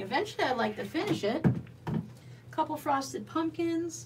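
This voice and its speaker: Amid noticeable background noise, a woman with an American accent talks at a moderate pace. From US Southwest (Arizona). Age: 50s. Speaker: quilting YouTuber. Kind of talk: casual livestream chat and sewing tutorial. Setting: home sewing room livestream. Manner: chatty. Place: home room.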